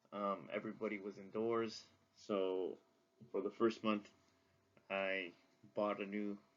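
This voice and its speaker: A man talks at a moderate pace. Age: 20s. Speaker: student and wrestling coach. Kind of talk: class assignment video journal. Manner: casual, with frequent fillers.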